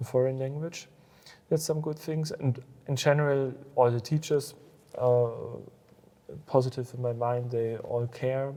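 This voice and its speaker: A man with a German accent speaks in a medium pitch and a dark, mellow tone, using fairly even intonation and long, frequent pauses. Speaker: school alumnus and business owner. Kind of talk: interview. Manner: halting.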